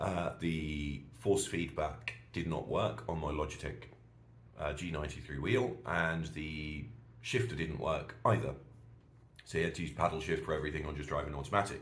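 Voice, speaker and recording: With audible room echo, a man with a British accent speaks at a moderate pace, his very deep, low voice showing vocal fry and lively intonation. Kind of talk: casual vlog monologue. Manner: animated ranting.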